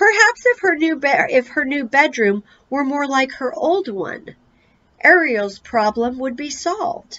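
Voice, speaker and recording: A woman performs a put-on character voice. It is high-pitched and fairly slow. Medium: read story.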